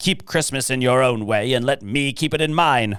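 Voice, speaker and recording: In a put-on character voice, a man speaks at a moderate pace and medium pitch with very even loudness. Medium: read story. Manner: curt and scornful.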